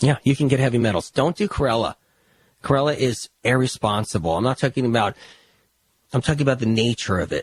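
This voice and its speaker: Dry and close with no echo, a man's animated, somewhat breathy voice runs at a very fast pace with ordinary pitch variation and long, frequent pauses. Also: medium pitch for a man. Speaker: health author and podcast host. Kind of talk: podcast monologue.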